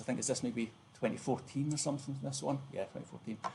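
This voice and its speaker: The pace is fairly quick as a man speaks. Ordinary pitch variation runs through his speech. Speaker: university lecturer. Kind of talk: lecture. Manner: fast.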